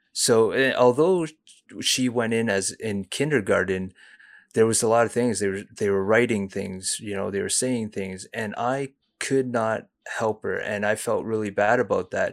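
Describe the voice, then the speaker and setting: Man's ordinary speaking voice at medium pitch, moderate pace and ordinary pitch variation. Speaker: podcast co-host. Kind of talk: casual chat.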